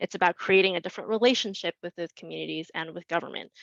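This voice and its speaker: Talking at a very fast pace, a woman uses a fairly low pitch with vocal fry and fairly even intonation, in a dry, close sound with no echo. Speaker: community housing advocate. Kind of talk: webinar presentation.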